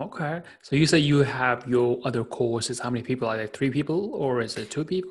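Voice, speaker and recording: A man with a medium-pitched voice talks at a fairly quick pace with ordinary pitch variation over noticeable background noise. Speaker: podcast host and platform founder. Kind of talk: interview. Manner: enthusiastic, laughs often.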